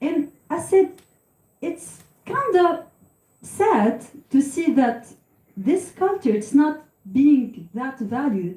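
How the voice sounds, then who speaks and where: A woman with a Tunisian accent and a high pitch, very slow, with long, frequent pauses and very wide pitch swings. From Tunisia, Sfax. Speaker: singer and psychologist. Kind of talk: talk to audience.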